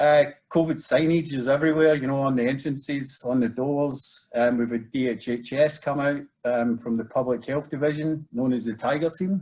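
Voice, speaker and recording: With a Scottish accent, a man talks in fairly even intonation. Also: fairly high pitch for a man. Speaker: residential treatment program manager. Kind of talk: webinar presentation. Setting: video webinar. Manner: fast.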